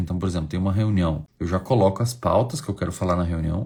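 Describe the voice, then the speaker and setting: This man is soft-spoken and somewhat breathy. His pitch varies in an ordinary way. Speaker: psychology teacher. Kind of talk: online lecture. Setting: hotel room.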